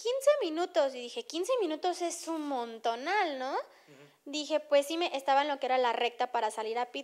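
A woman's high voice with ordinary pitch variation against a quiet background. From Mexico. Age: 20s. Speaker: racing driver; guest. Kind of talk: interview. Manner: halting. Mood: enthusiastic, relaxed. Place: home room. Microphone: handheld.

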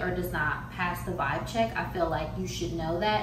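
A woman at a fairly quick pace, amid noticeable background noise and audible room echo. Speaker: beauty vlogger. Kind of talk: casual vlog chat. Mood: frank, a bit emphatic. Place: kitchen.

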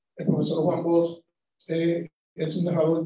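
Against a quiet background, a man with a dark, mellow tone speaks at a very slow pace with audible room echo. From Dominican Republic. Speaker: short story writer; conference speaker. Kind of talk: talk; lecture. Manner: halting. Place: hall.

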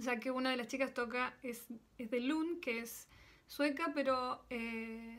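High-pitched female voice, intonation fairly even. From Argentina, Córdoba; Argentina. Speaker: percussionist and singer. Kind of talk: recorded video greeting. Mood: warm, smiling. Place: home room. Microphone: phone near.

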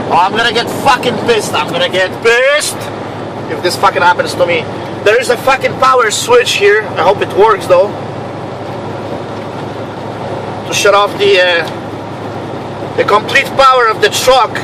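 Long, frequent pauses break up a man's speech at a moderate pace, with ordinary pitch variation. The sound is dry with no echo, though background noise is noticeable. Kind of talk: casual vlog chat. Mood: frustrated and annoyed. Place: car. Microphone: phone near.

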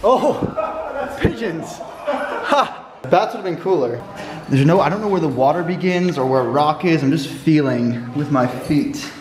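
At a fairly slow pace, a man speaks over noticeable background noise. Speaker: travel vlogger. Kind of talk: casual vlog chat. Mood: amused, mildly uncomfortable. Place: tunnel cave. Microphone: phone near.

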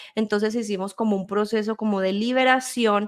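Against a quiet background, a woman speaks at a moderate pace and medium pitch with fairly even intonation. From Colombia and Spain. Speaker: guest. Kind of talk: testimony. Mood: earnest, storytelling. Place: home room. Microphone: studio mic.

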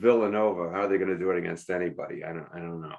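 Putting on a character voice, a man mumbles at a very fast pace in a very deep, low pitch with fairly even intonation.

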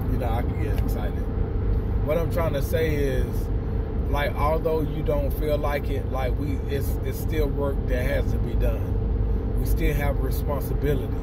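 The man's voice sounds dry with no echo, while loud noise fills the background. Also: moderate pace. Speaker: motivational vlogger. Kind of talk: casual vlog chat, encouraging talk. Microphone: phone near.

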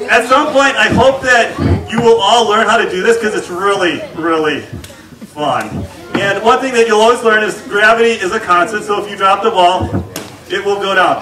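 A man's raised, projected voice over noticeable background noise. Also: ordinary pitch variation, moderate pace. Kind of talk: stage show patter to children. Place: tent. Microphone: camera far.

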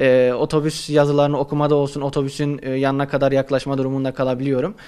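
Against a quiet background, a man talks at a fairly quick pace and a fairly high pitch. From Turkey, Kayseri; Turkey. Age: 20s. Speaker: university student; interviewee. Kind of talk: interview. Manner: halting, many fillers. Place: office. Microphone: handheld.

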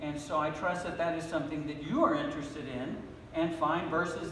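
A man with a fairly high pitch talks at a moderate pace over light background noise, with audible room echo. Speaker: pastor. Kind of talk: sermon. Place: church. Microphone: podium.

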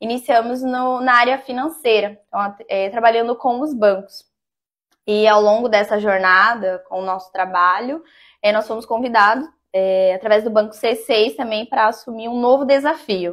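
The speaker has a normal speaking voice with ordinary pitch variation. The background is quiet. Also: woman, fairly high pitch for a woman, moderate pace. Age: 30s. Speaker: business owner; interview guest. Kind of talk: interview. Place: studio. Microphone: lapel.

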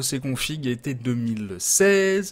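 Against a quiet background, a man's voice swings very widely in pitch. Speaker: gaming hardware youtuber; streamer reviewing PC parts. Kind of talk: product review. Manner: casual, many hesitations. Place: home room.

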